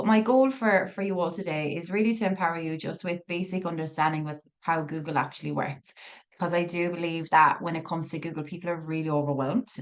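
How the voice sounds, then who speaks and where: A woman with an Irish accent speaks at a very fast pace, her fairly low pitch moving with ordinary variation. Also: hardly any pauses. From Ireland. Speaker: digital marketing business owner. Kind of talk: masterclass presentation. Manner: animated.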